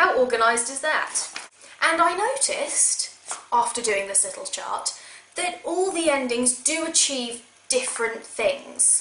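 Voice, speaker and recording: A woman projects a raised, high-pitched voice with very wide pitch swings and big swings in loudness at a fairly slow pace. Audible room echo and noticeable background noise are present. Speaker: video game vlogger. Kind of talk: casual vlog talk. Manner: sarcastic.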